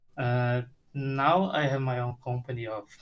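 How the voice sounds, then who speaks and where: A man with a Portuguese accent speaks at a very slow pace. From Brazil. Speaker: game audio freelancer. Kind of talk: casual self-introduction in group video call. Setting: video call. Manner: halting.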